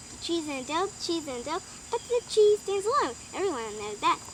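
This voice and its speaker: Over clear background noise, a woman races through a put-on character voice at a very fast pace. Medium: read story. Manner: fast, eager.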